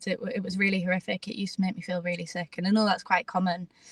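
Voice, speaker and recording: A woman speaks with a British accent. Her sound is dry and close, with no echo. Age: 20s. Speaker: jiu-jitsu competitor and school head of year. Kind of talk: interview.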